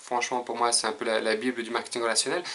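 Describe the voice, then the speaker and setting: A man with a strong French accent speaks at a medium pitch over noticeable background noise. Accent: strong French accent when pronouncing English. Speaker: personal development youtuber. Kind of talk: casual video monologue. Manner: hesitant, many filler sounds.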